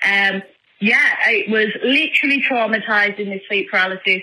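A woman speaks with a strong northern English accent. Her pace is moderate. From northern England. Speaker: caller leaving voicemail. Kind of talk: voicemail message. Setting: phone call. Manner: hesitant, many ums.

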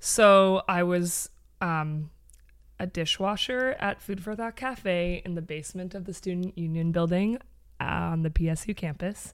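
Someone with an ordinary speaking voice and a Canadian accent talks at a fairly slow pace with ordinary pitch variation, in a very clean recording with a silent background. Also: woman, fairly low pitch for a woman. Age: 30s. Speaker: former fitness studio owner. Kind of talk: casual chat.

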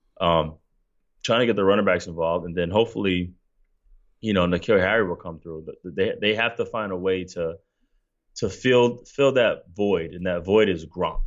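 Here is a man with a very deep, low pitch speaking at a moderate pace. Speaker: former NFL player, co-host. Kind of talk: casual sports talk. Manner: flat, one level.

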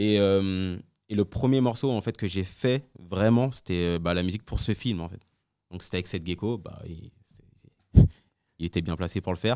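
A very deep, low man's voice with a dark, mellow tone, ordinary pitch variation and big swings in loudness, at a moderate pace on a very clean recording with a silent background. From France, Congolese heritage. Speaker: music producer. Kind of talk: casual interview.

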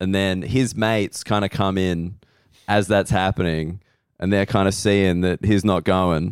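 With an Australian accent, a man with a very deep, low pitch speaks at a fairly slow pace and very even loudness in a very clean recording with a silent background. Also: fairly even intonation. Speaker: comedian and podcast host. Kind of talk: casual chat. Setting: hotel room.

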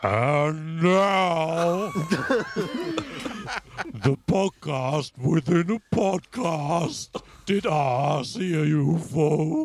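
This man puts on a character voice with a fairly high pitch. He talks at a very slow pace, leaving long, frequent pauses. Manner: grandiose build-up.

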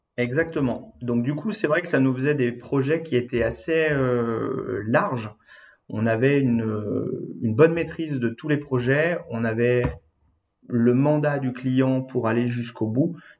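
A man with a plain, everyday voice, medium pitch, ordinary pitch variation and a fairly slow pace. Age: 30s. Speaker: interior design agency owner. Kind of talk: interview.

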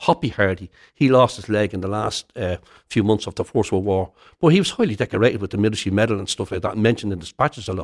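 In a Dublin accent, a voice races along at a very fast pace with ordinary pitch variation and big swings in loudness, on a very clean recording with a silent background and a dry, close sound with no echo. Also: man, fairly low pitch for a man. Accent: Dublin Irish. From Dublin inner city, Ireland. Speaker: retired soldier and historian. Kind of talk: interview.

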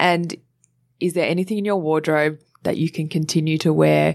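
Against a quiet background, a woman speaks with an Australian accent. Her pitch is fairly low. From Australia, Sydney (Cronulla). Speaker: presenter, model and climate activist. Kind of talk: casual interview chat. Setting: studio.

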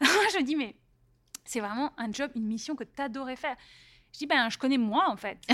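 A woman with a high-pitched, bright, sharp tone talks at a moderate pace, leaving long, frequent pauses. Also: lively intonation. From Paris, France. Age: 40s. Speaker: entrepreneur and author. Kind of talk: casual interview.

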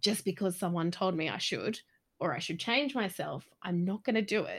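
A woman speaks at a medium pitch in a plain, everyday voice. Her intonation is lively. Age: 30s. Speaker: guest giving advice. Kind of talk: casual advice chat. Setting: video call.

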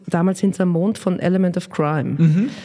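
Moderate pace from a woman with a slight Viennese accent. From Austria. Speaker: children's songwriter and singer. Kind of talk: interview. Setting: office. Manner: animated.

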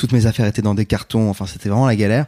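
A man with a fairly low pitch and a dark, mellow tone keeps his intonation fairly even in a very clean recording with a silent background. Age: 30s. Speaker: philosophy youtuber. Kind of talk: interview.

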